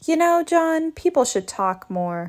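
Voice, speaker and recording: A put-on character voice, squeaky and high-pitched, moves at a fairly slow pace. The recording is very clean, with a silent background. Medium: read story. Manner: dry, sardonic.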